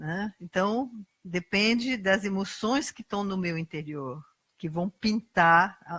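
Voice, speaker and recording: With a Brazilian accent, a woman speaks at a very slow pace and a medium pitch. Her intonation is lively, her tone bright and sharp, and the sound dry and close with no echo. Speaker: lay preacher. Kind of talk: sermon.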